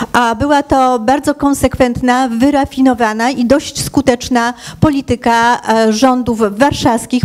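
Against a quiet background, a woman with a high pitch speaks at a very slow pace, her loudness very even and her intonation fairly even. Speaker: diaspora organization leader. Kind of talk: panel debate. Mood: calm, measured. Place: hall. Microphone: handheld.

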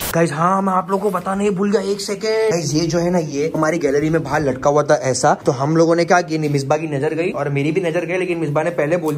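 Speaking at a moderate pace with hardly any pauses, a man uses a high pitch and fairly even intonation. Light background noise sits behind him. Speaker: family vlogger. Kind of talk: casual vlog chat. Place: home room. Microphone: phone near.

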